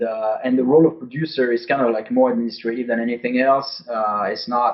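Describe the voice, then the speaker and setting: This man speaks with a French accent and a medium pitch. His pace is moderate and his intonation fairly even. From France. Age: 40s. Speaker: game designer. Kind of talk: interview. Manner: halting, many fillers.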